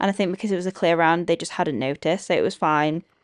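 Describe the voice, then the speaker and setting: Against a quiet background, a woman with a Yorkshire accent speaks with ordinary pitch variation. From Yorkshire, northern England. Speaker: equestrian vlogger. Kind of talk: vlog commentary.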